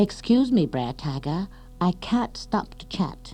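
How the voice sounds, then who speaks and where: Over clear music in the background, a put-on character voice speaks at a middle pitch. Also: fairly slow pace. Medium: read story.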